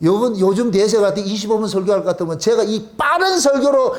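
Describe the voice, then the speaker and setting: A loud man talks at a fairly quick pace with a high pitch. Audible room echo and noticeable background noise accompany him. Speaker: pastor. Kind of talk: sermon. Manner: fast.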